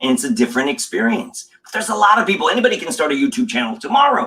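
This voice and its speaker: Speaking with an American accent, a man uses a raised, projected voice at a high pitch with very wide pitch swings. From Los Angeles, US. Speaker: communication coach. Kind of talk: casual interview chat. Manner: animated.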